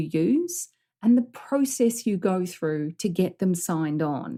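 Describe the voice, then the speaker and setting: In a New Zealand accent, a woman with a medium-pitched, dark, mellow voice speaks with lively intonation on a very clean recording with a silent background. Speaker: business coach. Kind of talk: podcast coaching talk.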